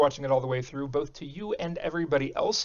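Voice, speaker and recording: Speaking at a very fast pace, a man with an American accent has a fairly high pitch. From Texas. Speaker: tech YouTuber. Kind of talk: casual Q&A to camera. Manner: halting, many fillers and repeats.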